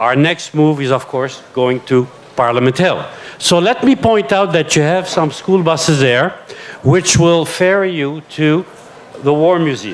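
A man talks fairly slowly in a normal speaking voice, pitched fairly high. His pitch varies in an ordinary way. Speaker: event moderator. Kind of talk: event moderation. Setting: stage with audience. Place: tent. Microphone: handheld.

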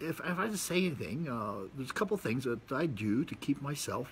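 A man's voice with vocal fry and very wide pitch swings at a moderate pace, light background noise behind it. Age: 60s. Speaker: video blogger. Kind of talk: monologue to camera, casual talk. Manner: casual, rambling, with fillers. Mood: relaxed, reflective. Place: garden. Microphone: phone near.

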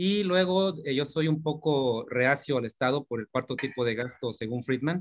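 The background is quiet. A man speaks at a moderate pace with ordinary pitch variation. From Mexico. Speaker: workshop participant. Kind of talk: audience question. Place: home room. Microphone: video call.

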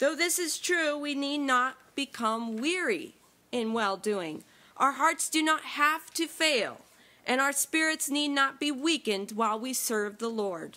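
A woman's raised, projected voice, very slow in pace, with lively intonation. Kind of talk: sermon.

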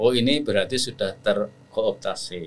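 A man's speech, fairly slow in pace. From Central Java, Batang Pekalongan; Central Java, Indonesia. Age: 60s. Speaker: Islamic scholar and lecturer; lecturer. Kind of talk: interview conversation. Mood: calm, reflective. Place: studio. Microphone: studio mic.

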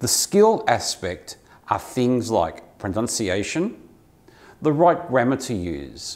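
A man with an Australian accent speaks with very wide pitch swings. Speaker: English teacher. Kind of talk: tutorial. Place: office. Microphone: lapel.

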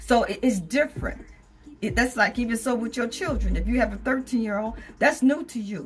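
A woman's fairly high voice with lively intonation at a moderate pace, faint music in the background. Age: 70s. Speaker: vlogger. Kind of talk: casual talk to camera. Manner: conversational, rambling. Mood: opinionated, frank, humorous. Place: home room. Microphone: phone near.

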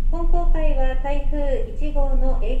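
A woman speaks at an extremely high pitch. Noticeable background noise runs beneath her voice. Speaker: ship announcer. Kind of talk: formal public announcement. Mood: polite, apologetic. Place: boat. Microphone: pa.

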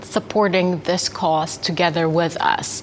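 Fairly low-pitched woman at a fairly slow pace, with music in the background. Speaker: food company representative. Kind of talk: corporate promotional interview.

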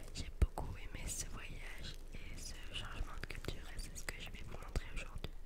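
A woman is whispering while noticeable background noise carries on behind her. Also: moderate pace, big swings in loudness. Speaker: ASMR content creator. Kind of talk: ASMR whispered vlog to camera about a trip. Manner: whispered, soft-spoken.

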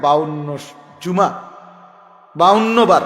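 A high-pitched man's voice with fairly even intonation, over noticeable background noise. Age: 40s. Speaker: Islamic preacher. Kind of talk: sermon. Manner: emphatic, repetitive exhortation.

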